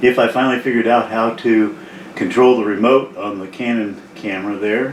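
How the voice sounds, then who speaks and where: A medium-pitched male voice amid noticeable background noise. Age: 70s. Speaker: retiree. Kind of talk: casual talk to camera. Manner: hesitant, rambling.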